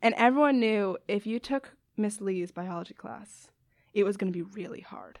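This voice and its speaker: A woman with an American accent, an ordinary speaking voice, ordinary pitch variation, big swings in loudness and a moderate pace. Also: medium pitch for a woman. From US Northeast, Westchester, New York. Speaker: biology graduate student. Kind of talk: casual interview.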